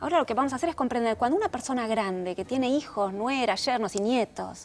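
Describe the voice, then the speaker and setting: A woman speaks at a fairly quick pace in a high pitch. Her intonation is lively. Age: 60s. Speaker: therapist and author. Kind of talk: interview.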